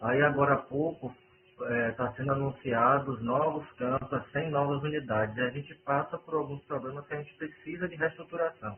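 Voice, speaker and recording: Over noticeable background noise, a man talks in a fairly high voice with fairly even intonation. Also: moderate pace. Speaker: university administrator chairing a meeting. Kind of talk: online work meeting. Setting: video call from home bedroom. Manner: soft-spoken. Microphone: sounds muffled.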